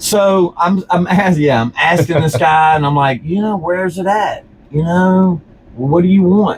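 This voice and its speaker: With a Louisiana accent, a man speaks fairly slowly in a high, animated voice. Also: ordinary pitch variation. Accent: Louisiana Southern US. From Louisiana, Baton Rouge. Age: 40s. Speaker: business owner. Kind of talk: casual interview chat. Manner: animated storytelling.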